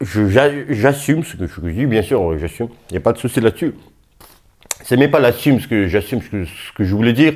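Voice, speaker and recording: Talking at a fairly quick pace, a man with medium pitch uses lively intonation and big swings in loudness. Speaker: boxing youtuber. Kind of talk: casual vlog commentary. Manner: halting, many fillers.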